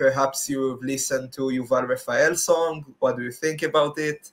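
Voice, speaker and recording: A man with an Israeli accent, fairly high-pitched, at a moderate pace. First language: Hebrew. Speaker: interviewer. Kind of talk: interview. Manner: hesitant.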